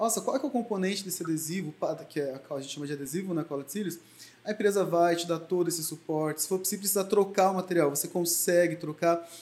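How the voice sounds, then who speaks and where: Over noticeable background noise, a man speaks at a very fast pace. His pitch is high, with ordinary variation. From Brazil, Mogi das Cruzes (São Paulo). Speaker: beauty entrepreneur and lash extension trainer. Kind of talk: interview.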